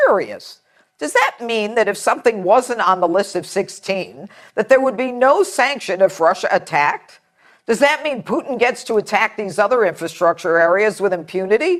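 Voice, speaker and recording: A woman talks in an ordinary speaking voice, fairly high in pitch, at a moderate pace. Her intonation is lively, and the recording is very clean with a silent background. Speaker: TV host. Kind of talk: TV opinion monologue.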